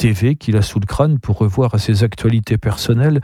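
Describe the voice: Pitch variation stays ordinary. The delivery is plain reading aloud.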